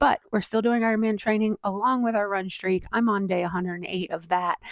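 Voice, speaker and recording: In a plain, everyday voice, a woman talks at a medium pitch with ordinary pitch variation, the sound dry and close with no echo. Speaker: endurance athlete vlogger. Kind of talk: casual vlog monologue. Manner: chatty with fillers.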